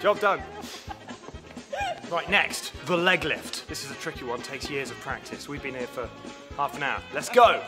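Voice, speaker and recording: A man speaks at a moderate pace with lively intonation. Clear music plays in the background. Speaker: radio breakfast show presenter. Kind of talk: casual radio-style banter to camera. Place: stage. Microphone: phone near.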